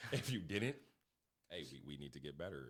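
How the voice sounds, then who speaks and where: A man talks at a fairly quick pace with a very deep, low pitch. There is vocal fry in his voice. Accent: American. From Connecticut, US. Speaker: basketball coach. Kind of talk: podcast interview. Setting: studio.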